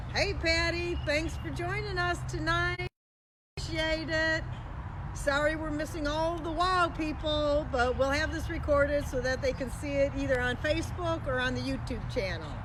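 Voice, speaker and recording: A woman talks at a moderate pace, and the room echo is audible. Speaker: home cooking and DIY channel host. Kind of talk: casual livestream chat. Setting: outdoors in neighbor's yard, live stream. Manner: loud.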